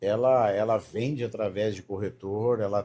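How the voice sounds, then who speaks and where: A man talks in a somewhat breathy voice. The recording is very clean, with a silent background. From Paraná, southern Brazil (Londrina). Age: 50s. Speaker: sales mentor. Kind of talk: casual chat.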